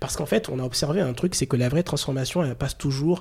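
This man's voice sits fairly high, with ordinary pitch variation and a somewhat breathy quality. The recording is very clean, with a silent background. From Chad. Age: 40s. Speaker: recruitment director. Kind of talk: interview. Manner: halting.

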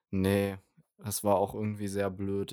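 Over a silent background in a very clean recording, a man talks in a fairly low pitch with a dark, mellow tone and monotone, flat intonation. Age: young. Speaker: online music magazine founder. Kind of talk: casual chat.

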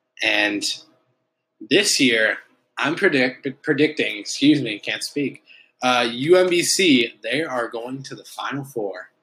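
Speaking in an Upper Midwest US accent, a man at medium pitch with a bright, sharp tone moves at a very slow pace, his intonation lively and his loudness swinging widely. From Milwaukee, Wisconsin. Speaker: TV news reporter. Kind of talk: casual chat. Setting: home kitchen.

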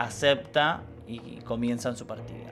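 This is an unremarkable speaking voice. It belongs to a man with a medium pitch. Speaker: podcast co-host. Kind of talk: casual educational chat.

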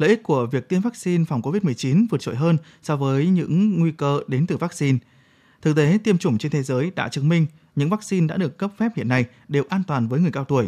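In a dry, close sound with no echo on a very clean recording with a silent background, a man speaks very fast with lively intonation at a fairly high pitch. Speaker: radio host. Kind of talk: news reading. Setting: studio.

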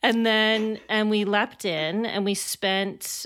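In a Canadian accent, a woman at medium pitch speaks very slowly in a very clean recording with a silent background. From Canada, Alberta (Calgary). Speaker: playwright and actor. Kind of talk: interview.

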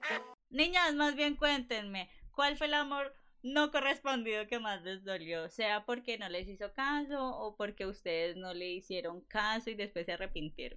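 Against a quiet background, a woman with a fairly high voice talks at a fairly slow pace in an animated tone, her pitch swinging very widely. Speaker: podcast co-host. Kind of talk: casual chat.

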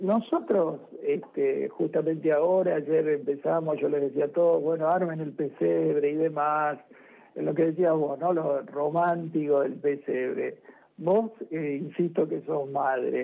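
A man talks with a plain, everyday voice. His pitch is fairly high and his pace fairly slow. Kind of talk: casual chat. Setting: phone call.

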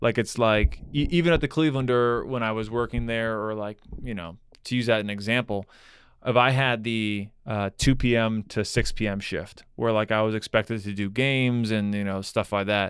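Recorded very cleanly with a silent background, a man with an ordinary speaking voice talks at a moderate pace and medium pitch with fairly even intonation. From South Florida (Broward County). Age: 30s. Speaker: stand-up comedian. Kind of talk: casual chat. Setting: studio.

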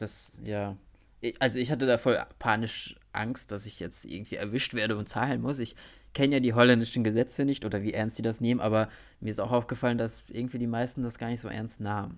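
Speaking at a fairly quick pace, a man with a medium pitch keeps a monotone, flat intonation on a very clean recording with a silent background. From small town in Germany. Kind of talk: casual chat. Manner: mumbling.

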